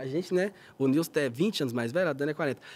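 A man speaks very fast. His delivery has lively intonation. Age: 20s. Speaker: singer in a vocal group; guest. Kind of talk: casual chat. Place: studio. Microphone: studio mic.

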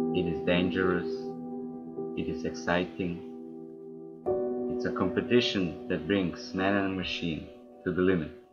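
A man at a moderate pace with long, frequent pauses, under loud background noise. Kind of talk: motorsport tribute narration. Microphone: headset.

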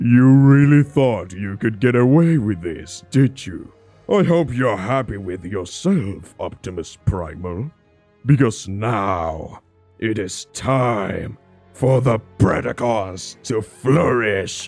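With faint music in the background, a man speaks at a very slow pace and medium pitch, his intonation lively. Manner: menacing, gloating.

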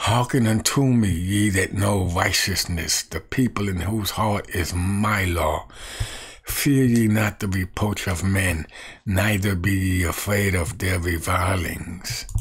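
A man with a fairly low pitch speaks very slowly, keeping his intonation fairly even. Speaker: evangelist. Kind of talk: scripture reading and commentary. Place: home room. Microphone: webcam.

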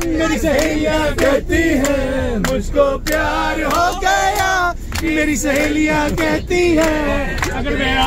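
With crowd noise behind him, a man speaks at a very slow pace with ordinary pitch variation. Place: bus. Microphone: phone near.

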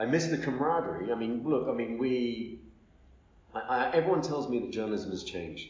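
A man with a medium pitch, lively intonation and a fairly quick pace, amid noticeable background noise and audible room echo. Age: 50s. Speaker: media executive and former journalist. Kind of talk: interview. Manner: halting.

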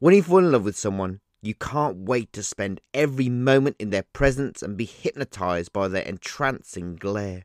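In a very clean recording with a silent background, a man with a normal speaking voice talks at a moderate pace and a fairly low pitch, using lively intonation and hardly any pauses. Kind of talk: spoken word poem. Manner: measured, rhythmic, reflective.

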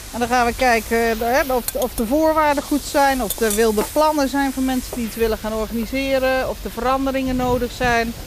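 Speaking fairly quickly with fairly even intonation, a woman with a high pitch is heard in a dry recording with no echo and light background noise. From Netherlands, Rotterdam then Nijmegen area; Netherlands. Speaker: festival director; guest. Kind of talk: casual chat. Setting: outdoors under a bridge. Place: waterside.

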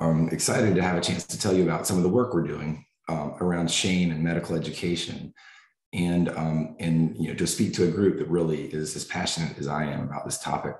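Fairly quick speech in an American accent, with ordinary pitch variation. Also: man, very deep, low pitch for a man. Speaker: family medicine professor. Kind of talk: lecture. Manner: halting.

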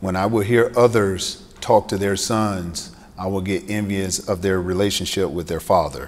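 Speaking at a moderate pace with hardly any pauses, a man with an American accent uses a fairly low pitch and fairly even intonation. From US South, Greenville, South Carolina; South Carolina. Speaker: former football player and author; speaker. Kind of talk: keynote speech. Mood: personal, reflective storytelling. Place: hall. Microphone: podium.

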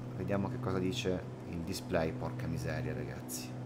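Very wide pitch swings from a male speaker, set against noticeable background noise. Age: 30s. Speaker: flight sim streamer. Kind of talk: live stream commentary. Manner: casual, hesitant fillers. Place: home room.

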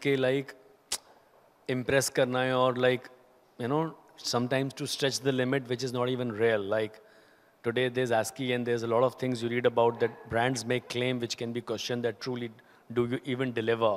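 A man talks at a fairly quick pace. His intonation stays monotone and flat. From India, Haryana. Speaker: company CEO; guest. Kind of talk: on-stage interview. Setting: stage with audience. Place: stage. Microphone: handheld.

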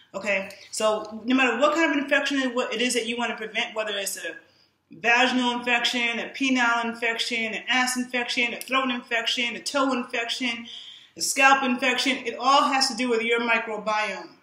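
A woman with an American accent speaks at a moderate pace and a high pitch, with a bright, sharp tone and fairly even intonation, in a quiet background with audible room echo. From New York. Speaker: fitness and nutrition influencer; nutrition influencer. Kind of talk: live-streamed monologue. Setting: live social media stream. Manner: casual, frequent fillers. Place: home room. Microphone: camera far.

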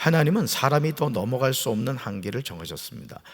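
His voice sits at a medium pitch for a man and swings very widely in pitch. Vocal fry runs through it. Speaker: pastor. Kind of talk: sermon. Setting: church. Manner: conversational, explanatory.

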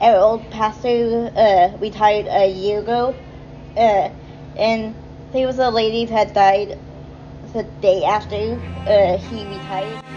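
Over faint background music, a woman speaks at a fairly slow pace with ordinary pitch variation and long, frequent pauses. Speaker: vlogger. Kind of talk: casual vlog chat. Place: cafe. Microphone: phone near.

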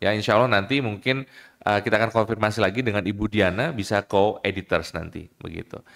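This man has a fairly low pitch and fairly even intonation. The background is quiet. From Indonesia. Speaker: law lecturer association chair and moderator. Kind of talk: formal moderation. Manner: hesitant, frequent fillers. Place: hall. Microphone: podium.

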